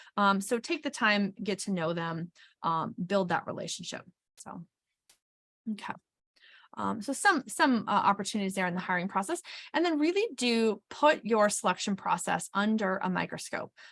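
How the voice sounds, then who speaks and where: A woman with a normal speaking voice talks at medium pitch and a moderate pace. Her intonation is lively, and the background is quiet. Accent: American. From Wisconsin. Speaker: HR consultant and webinar presenter. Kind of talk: webinar presentation. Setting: webinar.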